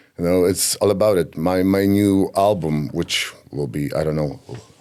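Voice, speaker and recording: Speaking at a fairly slow pace with a Polish accent, the voice shows ordinary pitch variation. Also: man. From Poland. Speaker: singer. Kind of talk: interview. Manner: halting.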